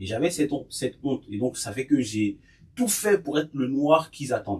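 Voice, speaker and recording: A somewhat breathy male voice. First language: Bété (Ivorian language) (speaking French). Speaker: podcast guest sharing experiences. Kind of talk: casual group discussion, personal testimony.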